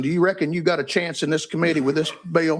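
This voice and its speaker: A man with an Appalachian accent speaks at a fairly high pitch, his intonation fairly even. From East Tennessee, Claiborne County. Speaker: committee chair. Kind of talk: committee hearing. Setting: hearing room.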